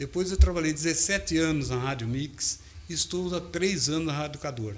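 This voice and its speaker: A man's fairly high voice with ordinary pitch variation, a fairly quick pace, and noticeable background noise. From Brazil, Limeira, São Paulo state. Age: 60s. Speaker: radio broadcaster and city council candidate. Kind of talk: interview.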